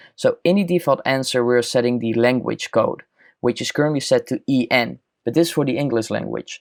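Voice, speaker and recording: A man talks at a fairly quick pace in a Dutch accent. The recording is very clean, with a silent background and a dry, close sound with no echo. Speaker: chatbot tutorial youtuber. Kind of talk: screen-recorded software tutorial.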